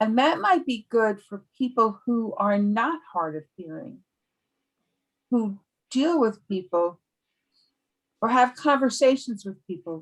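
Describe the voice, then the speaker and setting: Pausing long and often, a woman with a fairly high pitch speaks at a fairly slow pace with lively intonation and big swings in loudness. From New York. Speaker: speech therapist. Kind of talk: casual discussion.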